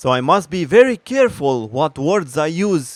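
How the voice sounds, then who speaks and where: With a Romanian accent and very wide pitch swings, a man speaks in a dry, close sound with no echo. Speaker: gaming commentator. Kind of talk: opinion rant. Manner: animated.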